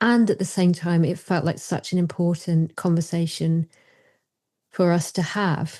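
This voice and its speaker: Against a quiet background, a woman with a British accent speaks in a dark, mellow tone at a fairly low pitch, with fairly even intonation and very even loudness. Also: fairly slow pace. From Britain. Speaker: psychotherapist. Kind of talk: casual chat.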